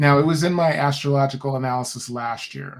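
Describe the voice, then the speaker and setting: Somewhat breathy and fairly high in pitch, a man talks with fairly even intonation. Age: 60s. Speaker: podcast guest, human design practitioner. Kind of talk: casual conversation.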